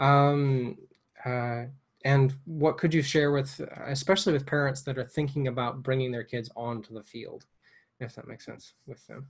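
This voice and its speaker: Speaking at a moderate pace with an American accent, a man with a fairly high, somewhat breathy voice keeps a fairly even intonation, takes long, frequent pauses, and shows big swings in loudness. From United States. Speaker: missionary and podcast host. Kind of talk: casual interview. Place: home room. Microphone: earbuds.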